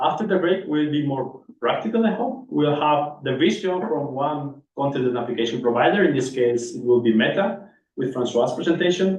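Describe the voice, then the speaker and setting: A man talks at a fairly high pitch and a fairly quick pace, with ordinary pitch variation. Audible room echo surrounds the voice. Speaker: session chair at a research workshop. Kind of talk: conference session introduction.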